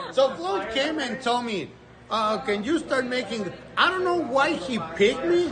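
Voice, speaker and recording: With a non-native accent, a man speaks at a fairly slow pace in an extremely high voice for a man, his intonation lively, amid audible room echo and noticeable background noise. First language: not English. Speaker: volunteer sports commentator, parent. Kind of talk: casual interview.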